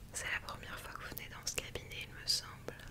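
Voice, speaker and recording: Over loud background noise, a woman whispers in a soft-spoken, gentle tone at a moderate pace. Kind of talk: soft-spoken role-play. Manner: soft, gentle ASMR near-whisper. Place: home room.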